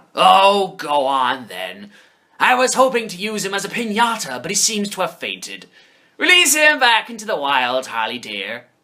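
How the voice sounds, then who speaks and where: A man puts on a character voice with a high pitch, delivered at a moderate pace. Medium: comedy sketch. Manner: playful, theatrical.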